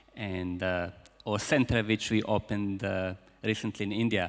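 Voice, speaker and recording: With a Croatian accent, a man speaks at a fairly low pitch and with fairly even intonation on a very clean recording with a silent background. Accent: Croatian accent, persistent. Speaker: business school founder and speaker. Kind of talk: conference keynote speech. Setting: conference hall with audience. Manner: halting, with repetitions.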